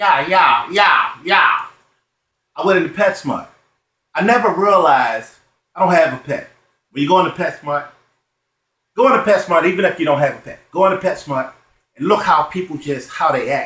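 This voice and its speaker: A man with a high pitch uses a raised, projected voice in a bright, sharp tone. His intonation is lively, broken by long, frequent pauses. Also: moderate pace. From Baltimore, Maryland. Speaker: stand-up comedian. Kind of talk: stand-up comedy routine.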